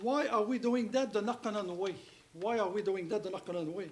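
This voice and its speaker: In a room with audible echo, a speaker with a French accent talks at a moderate pace with ordinary pitch variation. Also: man. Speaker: rehab center director. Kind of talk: speech. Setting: stage with audience.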